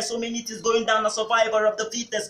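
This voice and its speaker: A raised, projected voice with audible room echo. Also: man. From Nigeria. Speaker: spoken word artist. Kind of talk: spoken word performance. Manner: rhythmic. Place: home room. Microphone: camera far.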